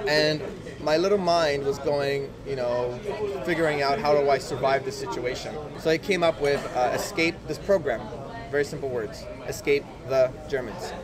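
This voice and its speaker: Moderate-paced speech from a man with a fairly high pitch and ordinary pitch variation, with audible room echo and noticeable background noise. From Poland. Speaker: podcast guest. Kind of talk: casual interview chat.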